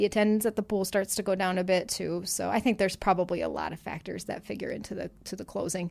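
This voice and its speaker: A woman talks very fast in a flat monotone at medium pitch. Her voice carries vocal fry. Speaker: publisher. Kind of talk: casual chat. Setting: studio.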